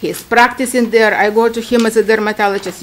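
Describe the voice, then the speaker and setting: Someone speaks in a Ukrainian accent at a fairly quick pace. Noticeable background noise is present. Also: woman. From Ukraine. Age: 60s. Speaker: esthetician applying for a permit. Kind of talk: public hearing testimony. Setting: town commission meeting. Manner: halting.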